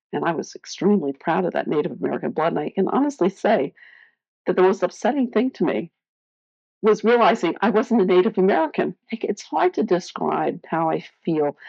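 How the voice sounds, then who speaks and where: The voice carries vocal fry and lively intonation. It moves at a fairly quick pace. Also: woman, medium pitch for a woman. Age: 60s. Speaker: adoptee sharing her story. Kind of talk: testimony.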